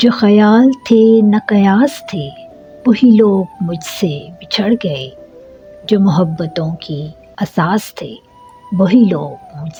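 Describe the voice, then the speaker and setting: With music in the background, a woman talks at a medium pitch, her pitch swinging very widely. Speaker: voice-over artist. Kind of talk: poetry reading. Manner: emotional, heartfelt.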